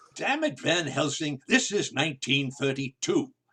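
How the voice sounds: Using a put-on character voice, a man with a fairly high pitch, bright, sharp tone and slightly husky edge speaks at a moderate pace with big pitch swings.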